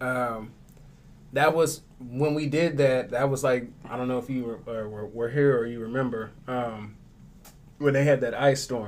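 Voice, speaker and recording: A man talks at a fairly slow pace with fairly even intonation and a medium pitch. It is an ordinary speaking voice. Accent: American. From Tulsa, Oklahoma. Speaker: radio show host and actor. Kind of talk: casual chat.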